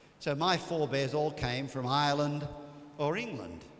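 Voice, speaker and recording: Recorded with audible room echo and noticeable background noise, the speaker uses an Australian accent at a moderate pace. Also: man. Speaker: priest. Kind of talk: retreat talk. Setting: church.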